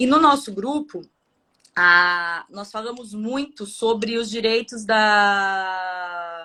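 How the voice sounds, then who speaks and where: In a very clean recording with a silent background, a woman talks at a fairly high pitch in a bright, sharp tone with ordinary pitch variation. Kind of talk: casual chat.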